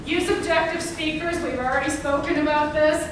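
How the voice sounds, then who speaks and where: Noticeable background noise surrounds a woman's voice. Room echo can be heard as well. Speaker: housing counseling presenter. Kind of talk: workshop presentation.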